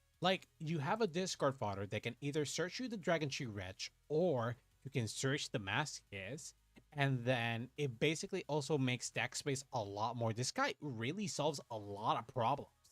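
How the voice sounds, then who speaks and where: Music plays in the background as a man speaks at a medium pitch and moderate pace with lively intonation, the sound dry and close with no echo. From Puerto Rico. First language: Spanish. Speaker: VTuber card game streamer. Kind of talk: casual gameplay livestream chat. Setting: livestream. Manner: animated.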